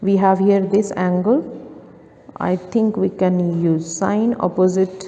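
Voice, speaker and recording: With long, frequent pauses, a woman speaks at a very slow pace in a flat monotone, her pitch medium and her loudness very even. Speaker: maths tutor. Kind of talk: tutorial.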